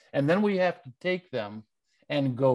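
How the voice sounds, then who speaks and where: A man with a Midwestern American accent speaks at a fairly high pitch and a fairly slow pace. His intonation is lively, and the background is quiet. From US Midwest, Detroit area. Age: 70s. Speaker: undertaker and writer. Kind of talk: interview conversation.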